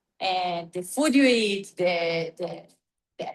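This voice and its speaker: Very slow speech from a woman with an Israeli accent and ordinary pitch variation. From Israel, near Haifa. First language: Hebrew. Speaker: dancer and teacher. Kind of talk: interview conversation. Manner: halting, searching for words.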